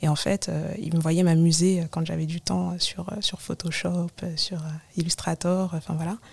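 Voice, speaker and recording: The voice is somewhat breathy, moving at a fairly slow pace with monotone, flat intonation. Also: woman, fairly low pitch for a woman. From Paris suburbs (Val-de-Marne, 94), Comorian family. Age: 30s. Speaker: digital collage artist and fashion stylist. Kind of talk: casual interview.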